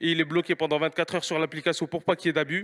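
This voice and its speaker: With a fairly high pitch, the man's voice comes through on a very clean recording with a silent background. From France, Paris region (Mantes-la-Jolie). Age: 30s. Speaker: restaurant owner, entrepreneur. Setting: stage with audience. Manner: halting, many repetitions.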